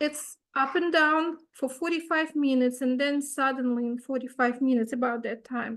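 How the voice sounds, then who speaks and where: A woman with a high pitch talks with hardly any pauses. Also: fairly even intonation, moderate pace. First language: not English. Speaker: retreat participant asking a question. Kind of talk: Q&A question.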